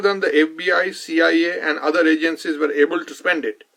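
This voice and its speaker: A man at a moderate pace, with an Indian accent. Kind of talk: nonfiction book reading.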